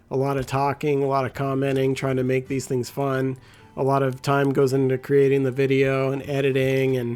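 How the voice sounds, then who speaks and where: With music in the background, a man talks at a medium pitch in a monotone, flat delivery. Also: moderate pace. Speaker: gaming YouTuber. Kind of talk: gameplay commentary tutorial. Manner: casual, filler-heavy.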